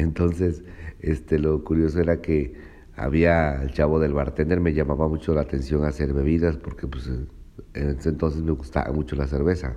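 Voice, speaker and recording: A man with a very deep, low pitch and a dark, mellow tone speaks at a moderate pace in a monotone, flat intonation. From Mexico, Veracruz (Cuitláhuac). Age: 40s. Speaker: cook. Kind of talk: personal testimony. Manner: hesitant, many fillers.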